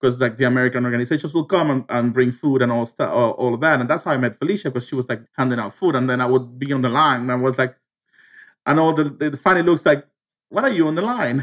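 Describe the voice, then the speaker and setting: A man speaks at a medium pitch with a Spanish accent, his pitch moving in an ordinary way. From Cuba. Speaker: teacher and former asylum seeker. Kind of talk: interview. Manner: halting, many fillers.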